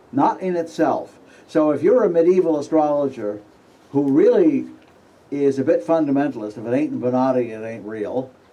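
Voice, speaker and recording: A man speaks at a moderate pace in a dark, mellow tone. His intonation is lively, and audible room echo surrounds him. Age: 70s. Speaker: astrologer giving a conference talk. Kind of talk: conference lecture. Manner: halting, with fillers.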